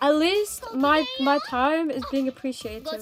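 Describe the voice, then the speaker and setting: A woman's voice rides high in pitch. Music runs behind her. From northern England. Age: 20s. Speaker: vtuber streamer. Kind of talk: live gaming stream chat. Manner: animated.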